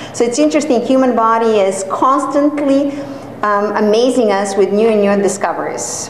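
A woman's fairly high pitch with ordinary pitch variation at a moderate pace, amid audible room echo and light background noise. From Serbia. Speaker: hair transplant coordinator and course director giving a talk. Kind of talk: lecture. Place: classroom. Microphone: camera far.

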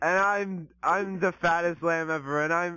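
The sound is dry with no echo as a man speaks at a high pitch with fairly even intonation. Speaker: comedic show host. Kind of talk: silly comedic intro skit. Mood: playful, joking, grinning. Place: home room. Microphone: handheld.

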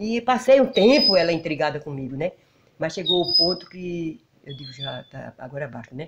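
Amid loud background noise, a woman talks at a moderate pace with very wide pitch swings and big swings in loudness. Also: fairly low pitch for a woman. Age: 60s. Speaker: rural homemaker. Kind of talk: interview. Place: home room. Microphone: handheld.

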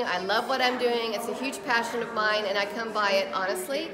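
Noticeable background noise sits behind the voice. A woman speaks at a fairly quick pace. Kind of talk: interview answer. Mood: warm, enthusiastic. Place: hall. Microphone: phone near.

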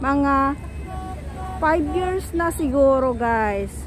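Faint music plays in the background as a woman speaks. Her sound is dry, with no echo. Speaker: vlogger filming the trip. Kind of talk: casual vlog chat. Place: beach. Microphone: phone near.

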